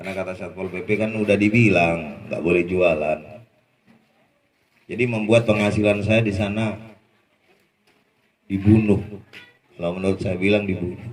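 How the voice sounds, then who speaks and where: With audible room echo, a man talks at a moderate pace in a fairly low pitch, keeping his intonation fairly even and taking long, frequent pauses. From Madura, Indonesia. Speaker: former street food vendor sharing testimony. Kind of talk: testimony. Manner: casual, conversational.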